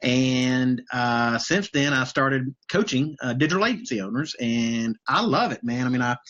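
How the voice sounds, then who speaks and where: A man with a Southern US accent, medium pitch, ordinary pitch variation, a moderate pace and hardly any pauses. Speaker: business coach. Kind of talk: casual interview on a livestream. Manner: casual, many fillers and repetitions.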